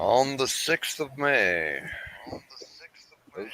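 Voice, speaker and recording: This is a man speaking. His pitch sits in the middle range. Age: 60s. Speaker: live streamer. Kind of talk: casual chat. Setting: live stream.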